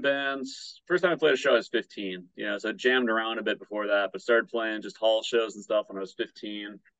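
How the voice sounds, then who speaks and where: In a Midwestern American accent, a man talks at a fairly quick pace and a medium pitch, with big swings in loudness. The sound is dry and close, without echo. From Michigan, Battle Creek. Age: 30s. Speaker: punk musician and public health student. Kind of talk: casual interview.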